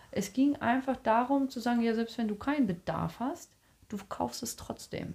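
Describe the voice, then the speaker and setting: A woman talks at a medium speed in a fairly high voice whose pitch varies in an ordinary way. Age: 30s. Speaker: podcast co-host. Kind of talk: casual chat. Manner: talkative.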